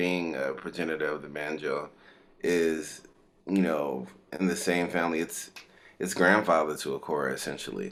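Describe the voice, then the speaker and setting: Vocal fry at a moderate pace. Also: man. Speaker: musician and kora player. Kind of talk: interview answer. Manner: casual, conversational.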